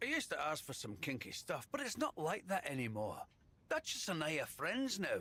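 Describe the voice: Putting on a character voice, a man speaks at a moderate pace with a fairly high pitch, a bright, sharp tone, a slightly husky edge, and very wide pitch swings.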